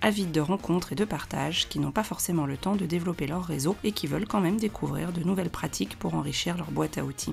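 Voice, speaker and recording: A woman speaks at a very fast pace with a fairly low pitch. Music plays in the background. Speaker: certified coach, podcast host. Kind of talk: podcast intro.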